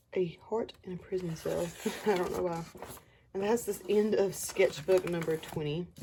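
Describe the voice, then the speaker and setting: The intonation is fairly even. Noticeable background noise runs underneath. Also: woman, medium pitch for a woman, moderate pace. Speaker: artist showing sketchbooks. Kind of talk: casual sketchbook tour narration. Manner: casual, conversational.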